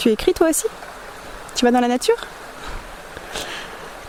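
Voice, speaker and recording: A woman's voice with noticeable background noise. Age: 30s. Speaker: interviewer, photographer and artist. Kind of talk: scripted introduction. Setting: outdoors by a river.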